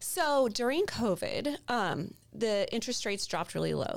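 Here a woman has an unremarkable speaking voice with a fairly high pitch. She talks at a moderate pace. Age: 40s. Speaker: mortgage broker. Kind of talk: casual chat.

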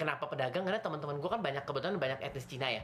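The speaker is a woman. Her voice rises and falls in very wide pitch swings. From Indonesia. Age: young. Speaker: podcast co-host. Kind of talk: casual chat.

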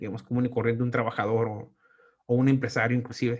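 A man speaks at a medium pitch. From Tijuana, Mexico. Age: 40s. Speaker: podcast host and stand-up comedian. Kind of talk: casual interview chat.

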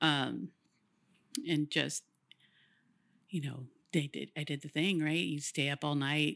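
A woman speaks with a very deep, low pitch and vocal fry, leaving long, frequent pauses. The sound is dry and close with no echo, on a very clean recording with a silent background. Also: ordinary pitch variation. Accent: American. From Woodland, California. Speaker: graphic designer. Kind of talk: casual interview chat.

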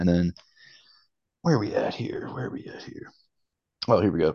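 A man with a Baltimore accent talks at a fairly quick pace against a quiet background. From Baltimore, Maryland. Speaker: comic collector guest host. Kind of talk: casual chat.

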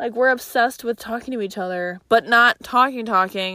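In a very clean recording with a silent background, a woman with a Chicago accent speaks at a moderate pace in an upbeat tone, her fairly high pitch showing ordinary pitch variation. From Chicago, US Midwest. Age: 20s. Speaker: podcast host. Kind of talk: casual solo podcast chat. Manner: casual, upbeat, chatty.

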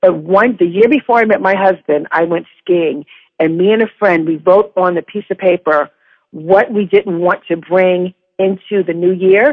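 A woman with an American accent talks at a moderate pace and medium pitch, an ordinary speaking voice with ordinary pitch variation. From New York. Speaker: podcast guest. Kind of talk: casual chat.

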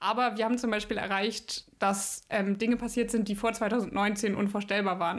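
A woman's fairly high, monotone voice with flat intonation on a very clean recording with a silent background. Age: 20s. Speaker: climate activist, university student. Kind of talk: interview.

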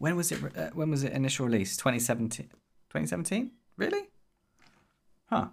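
Speaking at a fairly slow pace with long, frequent pauses, a man uses a medium pitch with vocal fry. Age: 30s. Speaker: podcast co-host and indie developer. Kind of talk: casual chat.

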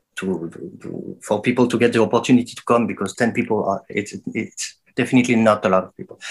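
This man has a French accent. His voice sits at a medium pitch. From France. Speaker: dub musician and producer. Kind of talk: interview. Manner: halting.

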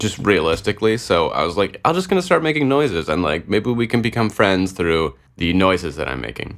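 A man speaks at a fairly quick pace with hardly any pauses, in a fairly low pitch with vocal fry. His pitch swings very widely. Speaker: podcast host. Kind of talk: casual solo monologue. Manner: rambling, laughs often.

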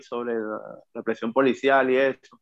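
Flat, monotone delivery from a man at a medium pitch. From Venezuela, La Guaira. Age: 40s. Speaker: rapper. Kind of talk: interview.

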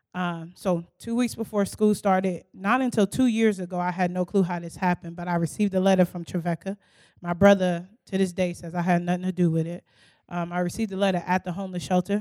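A woman with an American accent speaks fairly quickly in a plain, everyday voice of medium pitch. Her intonation stays fairly even, and the sound is dry and close with no echo. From Newark, New Jersey, later US South. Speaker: campus ministry staff. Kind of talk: interview testimony on church stage.

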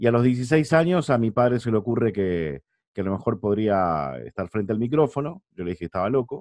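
A man's medium-pitched voice with very wide pitch swings at a fairly quick pace, over a quiet background. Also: dry, close sound with no echo. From Argentina, San Nicolás de los Arroyos. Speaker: arena announcer and sports commentator. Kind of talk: casual interview.

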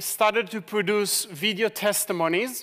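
A man's high, bright, sharp voice is raised and projected, with fairly even intonation. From Israel. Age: 40s. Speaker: ministry leader. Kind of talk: sermon. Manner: halting.

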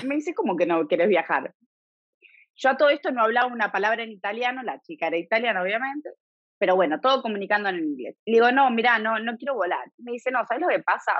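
A woman's fairly high-pitched voice, very fast pace and lively intonation. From Argentina, Buenos Aires (Devoto). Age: 30s. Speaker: emigrant interviewee. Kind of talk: casual interview chat. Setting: remote call.

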